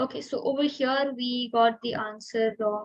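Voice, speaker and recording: A woman's fairly high-pitched voice in a monotone, flat intonation. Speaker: student tutor. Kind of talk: tutorial. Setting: video call. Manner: fast; hesitant, many fillers.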